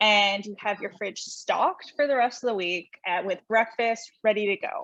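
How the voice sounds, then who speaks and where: At a moderate pace, a woman talks in a plain, everyday voice, fairly high in pitch with ordinary pitch variation. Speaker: holistic nutritionist. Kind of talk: presentation.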